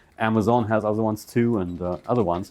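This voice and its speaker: With a German accent, a man speaks at a fairly quick pace in a medium pitch, showing ordinary pitch variation. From Germany. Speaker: computer business owner. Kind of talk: seminar talk. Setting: presentation to audience.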